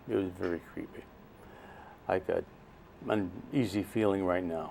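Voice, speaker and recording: A man with an American accent, fairly low pitch and a dark, mellow tone. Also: ordinary pitch variation, moderate pace. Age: 70s. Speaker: interview guest sharing personal story. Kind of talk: interview. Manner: halting.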